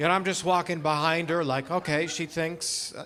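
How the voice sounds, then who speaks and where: The speaker is a man with a fairly high voice. He talks at a moderate pace. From Canada, Alberta. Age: 30s. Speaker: stand-up comedian. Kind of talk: stand-up. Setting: stage with audience. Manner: halting.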